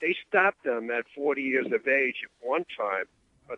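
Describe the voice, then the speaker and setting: A man talks with a New York accent. His pace is moderate. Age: 70s. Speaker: lifeguard. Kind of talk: radio interview. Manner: halting, many filler uhs.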